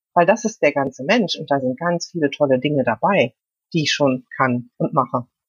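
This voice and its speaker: Her intonation is lively, while the woman's pitch is very deep and low. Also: moderate pace. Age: 50s. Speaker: food coach and mental trainer. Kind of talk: casual interview.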